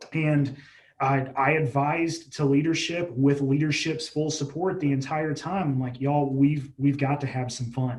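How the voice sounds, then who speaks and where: Somewhat breathy, a man speaks at a moderate pace in a fairly high voice with fairly even intonation. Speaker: healthcare digital marketing manager. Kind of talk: interview. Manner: halting, self-described stuttering.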